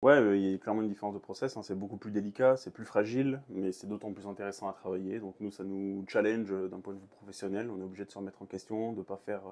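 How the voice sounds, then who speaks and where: Very fast, nearly pause-free speech from a man at a fairly low pitch, with big swings in loudness. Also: fairly even intonation. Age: 30s. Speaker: head baker. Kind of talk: interview. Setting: bakery. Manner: hesitant, many fillers.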